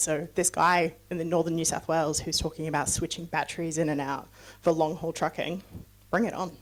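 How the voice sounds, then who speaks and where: A woman speaks fairly quickly in a fairly low, monotone, flat voice. The recording is very clean with a silent background. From New Zealand. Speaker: sustainability executive, guest speaker. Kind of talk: talk to a club meeting. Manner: casual, many fillers.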